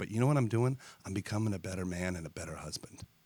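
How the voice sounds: Putting on a character voice, a man talks very fast in a raspy, very deep, low voice.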